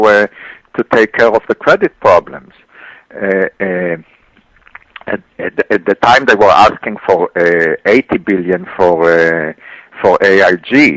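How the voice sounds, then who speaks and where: Lively intonation at a fairly slow pace, with a dry, close sound and no echo. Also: man. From Israel. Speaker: economist. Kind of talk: radio interview. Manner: halting, many fillers and repeats.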